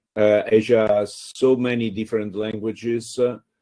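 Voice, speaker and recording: Speaking at a fairly slow pace, a man with an Italian accent has a fairly low pitch and a dark, mellow tone. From Italy. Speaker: free software community organizer. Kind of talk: panel discussion. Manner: halting.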